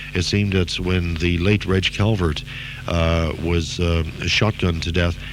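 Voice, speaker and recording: Noticeable background noise sits under a man with a very deep, low pitch, fairly even intonation and a moderate pace. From Canada. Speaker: radio DJ. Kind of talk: interview answer.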